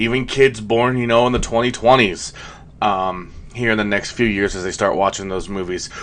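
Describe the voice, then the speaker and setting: A man's plain, everyday voice, fairly low in pitch, with ordinary pitch variation and a moderate pace. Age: 30s. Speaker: YouTube commentator. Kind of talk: video commentary. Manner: casual, many fillers.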